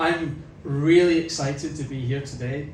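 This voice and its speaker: With a Scottish accent, a man speaks in a flat monotone at a fairly high pitch amid noticeable background noise and audible room echo. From Scotland. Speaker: company executive. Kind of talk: press conference speech. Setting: stage with audience.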